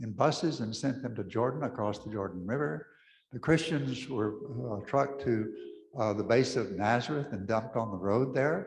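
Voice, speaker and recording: A somewhat breathy voice at a moderate pace, with ordinary pitch variation and audible room echo. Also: man. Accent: West Texas. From West Texas (Pecos). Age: 80s+. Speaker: Episcopal priest. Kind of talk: talk to an audience.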